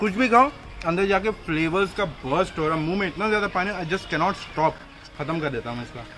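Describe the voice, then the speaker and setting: A man speaks at a moderate pace while music plays clearly in the background. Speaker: food vlogger. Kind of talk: casual food review vlog. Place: street.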